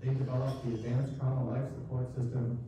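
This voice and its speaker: Strong room echo and noticeable background noise surround a man speaking with an American accent. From Minnesota. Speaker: writer, former surgeon. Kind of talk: reading aloud. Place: stage.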